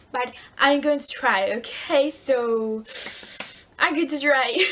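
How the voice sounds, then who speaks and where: Over noticeable background noise, a woman speaks with a Spanish accent at a very slow pace. Her voice is high, with ordinary pitch variation. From Spain. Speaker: book vlogger. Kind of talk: vlog tips video. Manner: halting.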